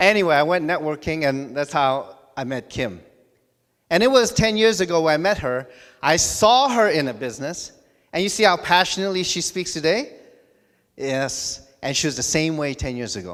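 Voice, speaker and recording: A man in a plain, everyday voice, fairly high-pitched with lively intonation, at a moderate pace, on a very clean recording with a silent background. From Hong Kong, raised in US (Los Angeles area). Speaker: network marketing director. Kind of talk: motivational speech at event. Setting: stage with audience.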